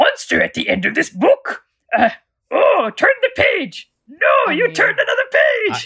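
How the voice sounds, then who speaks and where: Put-on character voice at an extremely high pitch, fairly slow pace. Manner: excitable, pleading.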